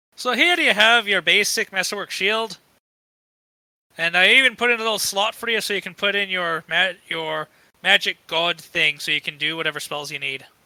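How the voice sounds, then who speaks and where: A man puts on a high-pitched character voice. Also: moderate pace. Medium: actual play. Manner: warm, wry.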